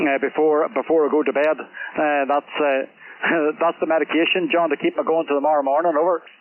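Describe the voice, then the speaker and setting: A man with a Northern Irish accent talks at a fairly quick pace, with monotone, flat intonation and very even loudness, over noticeable background noise. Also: fairly high pitch for a man. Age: 60s. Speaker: amateur radio operator. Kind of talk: casual chat. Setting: radio contact. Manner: halting, many fillers.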